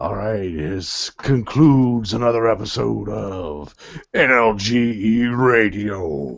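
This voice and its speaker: A man puts on a character voice, fairly low in pitch and very slow in pace. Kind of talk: classic radio sign-off.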